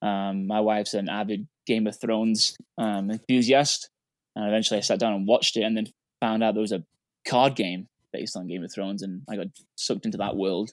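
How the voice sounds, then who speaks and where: On a very clean recording with a silent background and a dry, close sound without echo, a man with an English accent speaks at a fairly low pitch with fairly even intonation. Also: fairly quick pace. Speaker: podcast co-host. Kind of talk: casual chat.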